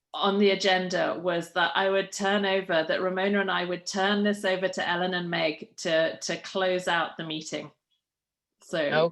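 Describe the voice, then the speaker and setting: In a British accent, a woman talks at a moderate pace with a medium pitch and monotone, flat intonation against a quiet background. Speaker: outgoing PTO co-president. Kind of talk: meeting chairing.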